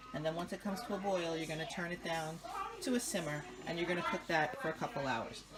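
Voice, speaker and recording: At a very fast pace, a woman with an American accent speaks in a fairly low pitch, with audible room echo and noticeable background noise. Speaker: home cook showing a family recipe. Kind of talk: cooking tutorial. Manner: casual, chatty.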